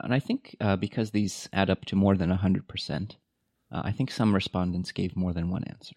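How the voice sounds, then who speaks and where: With a Californian accent, a man talks at a fairly quick pace in a fairly low voice with fairly even intonation, the sound dry and close with no echo against a quiet background. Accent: Californian American English. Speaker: podcast co-host, university staff. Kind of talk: casual chat. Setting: studio.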